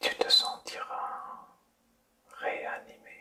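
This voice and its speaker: A soothing tone at a very slow pace, over noticeable background noise. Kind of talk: ASMR sleep-inducing guided relaxation, whispered to the listener. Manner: soft, slow, soothing, whispered.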